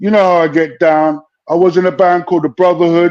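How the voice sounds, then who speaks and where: With a London accent, a man speaks fairly quickly in a high pitch. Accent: London (multicultural London English). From London, Brent (northwest London). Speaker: UK hip hop rapper. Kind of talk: casual interview chat. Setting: live stream.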